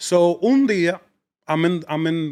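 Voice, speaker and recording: A man's voice, animated in tone. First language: Spanish. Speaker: comedian. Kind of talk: casual chat. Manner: animated, mixing English and Spanish.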